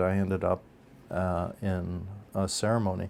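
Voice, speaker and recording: In a very clean recording with a silent background, a man speaks in a fairly low voice. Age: 60s. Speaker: abuse survivor sharing his story. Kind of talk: testimony. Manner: halting.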